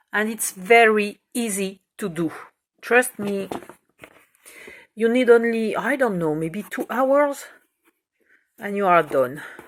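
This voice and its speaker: Speaking at a very slow pace with long, frequent pauses, a woman with a French accent uses a fairly high pitch, lively intonation and big swings in loudness. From France. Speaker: crafts tutorial maker. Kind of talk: tutorial. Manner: halting, hesitant.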